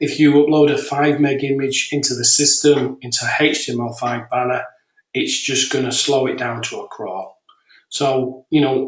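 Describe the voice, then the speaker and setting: With a British accent, a man of fairly high pitch speaks at a moderate pace with fairly even intonation. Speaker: software developer. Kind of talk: software demo webinar. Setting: webinar.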